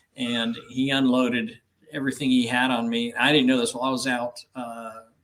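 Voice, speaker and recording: The man's voice is medium in pitch. He keeps a moderate pace and fairly even intonation. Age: 60s. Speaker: ministry leader. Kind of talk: interview. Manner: halting.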